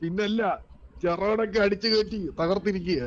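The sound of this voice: Holding fairly even intonation, a man talks at a high pitch.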